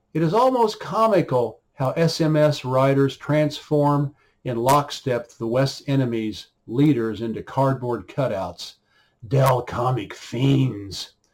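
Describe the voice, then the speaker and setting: A man with an American accent, fairly high in pitch, very slow in pace, with lively intonation. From US, Oklahoma. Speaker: writer and commentator. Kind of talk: reading aloud.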